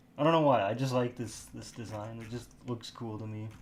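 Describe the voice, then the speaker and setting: A man speaks quietly at a moderate pace and a medium pitch. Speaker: livestreamer doing 3D modeling. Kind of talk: casual live-stream commentary while working. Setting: live stream. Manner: talking quietly; rambling, halting self-talk.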